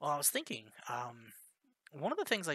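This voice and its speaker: A man talks in a fairly high voice with a bright, sharp tone. His intonation is lively. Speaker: game developer streamer. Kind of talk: live coding tutorial. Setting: live stream. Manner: deliberately lowered volume.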